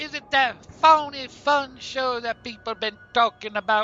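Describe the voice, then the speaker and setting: With faint music behind him, a man in an angry, cartoonish character voice speaks at a moderate pace with an extremely high pitch and lively intonation. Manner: gruff, angry.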